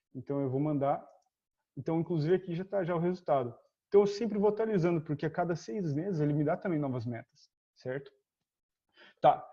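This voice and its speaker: A man with a fairly high pitch and a dark, mellow tone speaks at a fairly quick pace with ordinary pitch variation. Long, frequent pauses break up his speech over a quiet background. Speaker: trading instructor. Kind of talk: tutorial. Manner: fast; casual.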